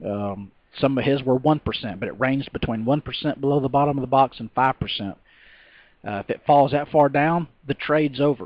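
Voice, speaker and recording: A man speaks with a Texas accent. His pace is fairly quick. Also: medium pitch for a man, ordinary pitch variation. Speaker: stock trader. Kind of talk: tutorial. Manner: halting, many fillers and repeats.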